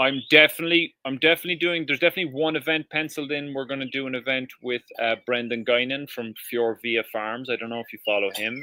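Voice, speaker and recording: Talking at a very fast pace with hardly any pauses, a man with a Cork accent keeps a medium pitch and ordinary pitch variation. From Ireland, Cork. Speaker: permaculture educator and restaurant owner. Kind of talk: casual chat. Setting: live stream.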